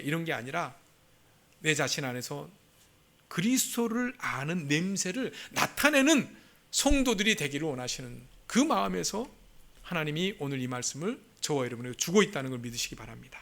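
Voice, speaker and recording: Pausing often and at length, a man speaks with very wide pitch swings. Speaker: pastor. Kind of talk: sermon. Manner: fast.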